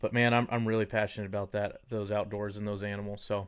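A man with an American accent. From Texas, Dallas. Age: 30s. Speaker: mortgage lender. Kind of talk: casual chat.

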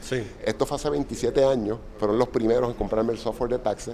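A man with a Puerto Rican accent talks at a fairly quick pace. His medium-pitched voice has a dark, mellow tone. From Puerto Rico. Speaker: software company founder. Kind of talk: interview storytelling. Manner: halting, many fillers.

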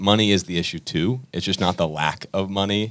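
A man with a fairly low voice speaks at a fairly quick pace on a very clean recording with a silent background. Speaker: student pastor. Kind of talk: casual chat.

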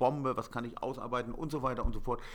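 This man has a normal speaking voice at a medium pitch. He speaks at a fairly quick pace with ordinary pitch variation. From Hamburg, northern Germany. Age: 40s. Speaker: painter. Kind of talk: interview.

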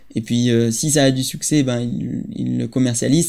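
Here is a man with a dark, mellow tone at medium pitch. His intonation stays fairly even. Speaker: architect and playground designer. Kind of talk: interview. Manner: halting.

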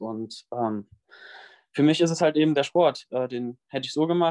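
This man speaks at a moderate pace, and the sound is dry and close with no echo. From western Germany, near Bonn. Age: young. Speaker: fitness influencer, trainee physiotherapist. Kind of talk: interview. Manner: hesitant, many fillers.

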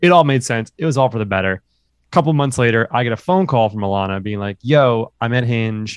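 A man in a normal speaking voice at medium pitch talks at a fairly quick pace, the sound dry and close with no echo. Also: very clean recording, silent background. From New York City. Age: 30s. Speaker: film writer-director. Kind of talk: casual chat.

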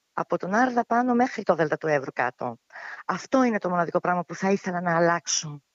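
At a fairly quick pace, a woman talks with a fairly low pitch in an ordinary speaking voice. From Greece, Evros (Thrace), Alexandroupoli. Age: 40s. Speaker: civil servant and mother. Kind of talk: casual interview.

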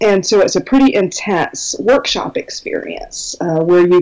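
A woman with an American accent at a moderate pace, over noticeable background noise. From Minnesota, US Midwest. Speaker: belly dance business teacher. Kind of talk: casual interview, informative.

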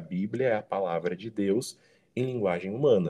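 Against a quiet background, the voice has a dark, mellow tone and fairly even intonation at a fairly slow pace. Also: man. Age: 20s. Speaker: journalist and church teaching coordinator. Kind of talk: casual chat.

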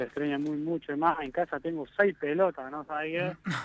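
The delivery is an ordinary speaking voice at a moderate pace, with fairly even intonation. The sound is dry and close, with no echo. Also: man. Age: 20s. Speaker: professional footballer. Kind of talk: interview.

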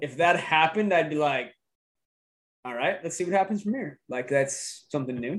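With an American accent, a man speaks in a plain, everyday voice, his pitch fairly high and his intonation lively. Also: moderate pace. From Idaho. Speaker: podcast host. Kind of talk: casual political chat.

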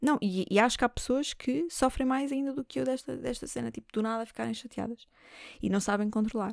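A fairly quick European Portuguese accent, with ordinary pitch variation, on a very clean recording against a silent background. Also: woman, fairly high pitch for a woman. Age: 20s. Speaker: comedian and podcast host. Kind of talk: casual solo monologue. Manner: animated.

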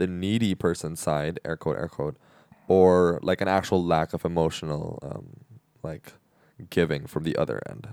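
This man has a very deep, low pitch with ordinary pitch variation. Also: moderate pace. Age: 20s. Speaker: podcast host. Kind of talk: casual chat.

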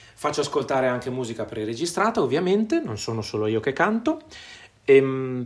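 With a medium pitch and ordinary pitch variation, this man keeps a moderate pace. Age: 40s. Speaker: music teacher. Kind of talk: tutorial. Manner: hesitant, many filler sounds.

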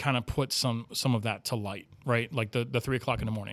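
A very clean recording with a silent background captures a plain, everyday voice moving at a fairly quick pace. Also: man. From Miami, Florida. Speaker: paranormal investigator and filmmaker. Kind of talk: casual interview chat.

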